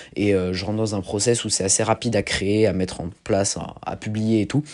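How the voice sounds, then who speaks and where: This is a man speaking. His pitch is fairly low. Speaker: podcast host, strength athlete. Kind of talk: casual solo podcast monologue. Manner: animated.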